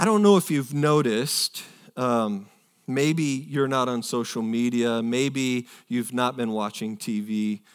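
On a very clean recording with a silent background, a man speaks fairly slowly in a normal speaking voice at medium pitch with ordinary pitch variation. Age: 40s. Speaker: pastor. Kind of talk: sermon.

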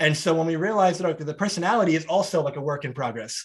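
This man's fairly high voice carries lively intonation. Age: 30s. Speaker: podcast host. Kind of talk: interview.

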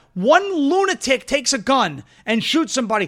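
On a very clean recording with a silent background, a man raises and projects his voice, bright and sharp in tone with lively intonation. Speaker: political talk show host. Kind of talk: opinionated commentary show. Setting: studio. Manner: fast talker; animated.

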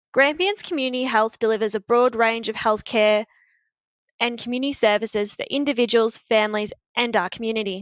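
A woman speaks at a fairly quick pace with an Australian accent. Her pitch is fairly high and her intonation fairly even. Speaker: podcast host. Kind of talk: scripted intro with casual interview. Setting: shared office, recorded together.

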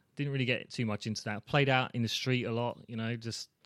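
A man with a British accent is heard in a very clean recording with a silent background. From England. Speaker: dad guest. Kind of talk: casual chat.

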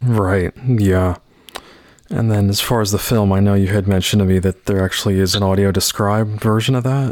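Here is a man with an unremarkable speaking voice, fairly low in pitch, talking at a fairly quick pace. His loudness stays very even and his intonation is fairly even. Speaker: podcast host. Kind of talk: podcast interview.

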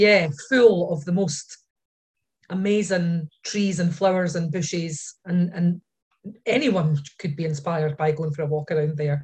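A woman speaks fairly slowly in a somewhat breathy, fairly low voice with ordinary pitch variation. She has a Scottish accent. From Scotland. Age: 40s. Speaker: painter. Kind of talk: casual chat.

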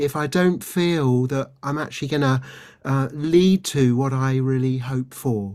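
In a very clean recording with a silent background, a man speaks with a British accent. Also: medium pitch for a man, ordinary pitch variation, fairly slow pace. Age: 60s. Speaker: doctor and resilience trainer, author. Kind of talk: interview.

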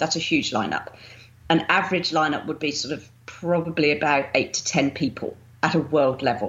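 A woman speaks with a southern English accent. Her voice is very deep and low, with ordinary pitch variation. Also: moderate pace. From southern England, Winchester. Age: 50s. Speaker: bodybuilding champion and fitness coach. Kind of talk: interview. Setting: remote call.

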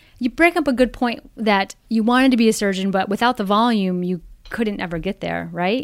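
A woman with an unremarkable speaking voice talks at a fairly quick pace, her fairly high pitch showing ordinary variation. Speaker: physician host. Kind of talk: interview conversation.

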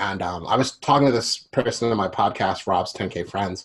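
A man with an American accent and an unremarkable speaking voice talks at a moderate pace in a fairly low pitch. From Philadelphia, US. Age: 30s. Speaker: musician. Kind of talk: interview.

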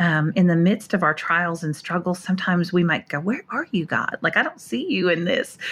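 A woman with an American accent speaks in a normal speaking voice, fairly low in pitch with ordinary pitch variation, at a fairly quick pace with hardly any pauses. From North Dakota, US. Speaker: author and speaker. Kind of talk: personal testimony interview. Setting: hotel room, remote call.

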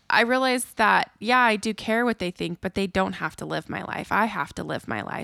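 A woman with a normal speaking voice talks with fairly even intonation. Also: dry, close sound with no echo, very clean recording, silent background. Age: 30s. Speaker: podcast co-host. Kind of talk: casual chat.

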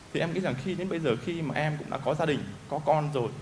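A fairly high-pitched man talks at a very fast pace with ordinary pitch variation. Noticeable background noise and audible room echo are present. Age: 30s. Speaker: workshop participant. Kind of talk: testimony.

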